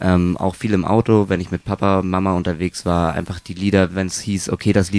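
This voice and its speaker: A man talks at a fairly quick pace with a very deep, low pitch. The sound is dry and close, with no echo. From northern Germany, near Kiel. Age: 20s. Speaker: windsurf and wingfoil instructor. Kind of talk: interview.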